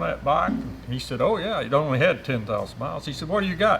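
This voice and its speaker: An Appalachian accent at a very fast pace. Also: man. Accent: Southern US (Appalachian). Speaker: motorcycle rider. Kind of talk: storytelling. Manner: halting, many fillers.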